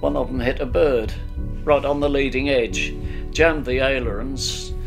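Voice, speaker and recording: While a man talks, clear music can be heard in the background. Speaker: WWII RAF ground crew veteran. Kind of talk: interview answer. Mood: somber, reflective recollection. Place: home room.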